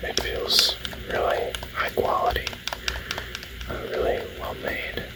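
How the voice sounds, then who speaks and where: Soft-spoken whispering at a fairly slow pace, with long, frequent pauses and noticeable background noise. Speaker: ASMR gaming channel host. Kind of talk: ASMR whispered gaming talk. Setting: indoor, close-mic recording. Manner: whispered, soft-spoken.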